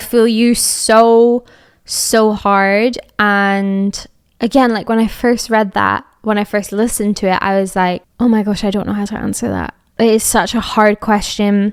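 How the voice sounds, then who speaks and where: A fairly slow delivery in a slight Scottish accent, flat and monotone, on a very clean recording with a silent background. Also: woman, fairly high pitch for a woman. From Scotland, Edinburgh. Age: 20s. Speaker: podcast host. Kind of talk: casual chat.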